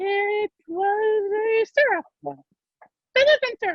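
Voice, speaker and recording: Using a squeaky put-on character voice at an extremely high pitch, a woman speaks at a fairly slow pace. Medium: stage play. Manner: slow, sleepy.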